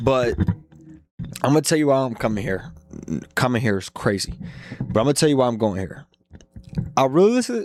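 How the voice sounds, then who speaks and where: Using a put-on character voice that is raspy and medium-pitched, a man talks at a fairly quick pace with lively intonation and long, frequent pauses. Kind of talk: casual sports-betting talk. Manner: stuttering, tripping over words.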